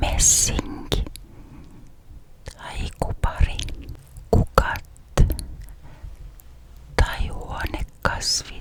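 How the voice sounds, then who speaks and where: Noticeable background noise is present. A woman whispers in a calm tone at a very slow pace. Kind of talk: ASMR this-or-that questions. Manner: whispered, calm, relaxing.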